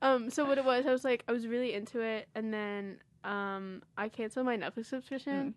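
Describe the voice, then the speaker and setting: A woman's normal speaking voice, fairly high-pitched, with fairly even intonation and a fairly quick pace. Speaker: college radio host. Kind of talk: casual chat. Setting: studio.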